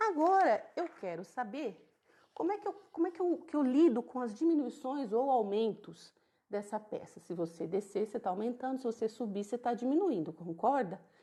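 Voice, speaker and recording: At a moderate pace, a woman speaks in a high pitch with very wide pitch swings. Her tone is dark and mellow. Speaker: crochet teacher. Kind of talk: tutorial. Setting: live stream.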